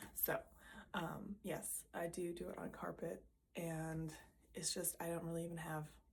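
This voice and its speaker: A woman's fairly low voice carries vocal fry. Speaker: vlogger, nurse and physique competitor. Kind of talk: casual vlog. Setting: at home, filming with own camera. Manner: casual, filler-heavy.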